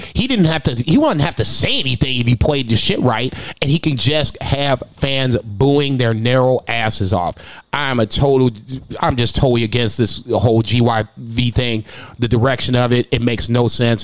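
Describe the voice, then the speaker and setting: A man's plain, everyday voice at medium pitch, with fairly even intonation, very even loudness and a moderate pace. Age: 40s. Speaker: wrestling podcast host. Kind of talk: reading out standings; casual chat.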